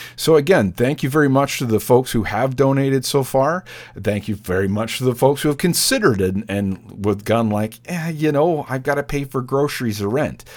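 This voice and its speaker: This man talks at a fairly quick pace with lively intonation. He has a plain, everyday voice. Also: very clean recording, silent background. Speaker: radio DJ. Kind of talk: radio DJ patter, back-announcing tracks and pitching the membership drive. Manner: casual, chatty, conversational; fills pauses with uh and um.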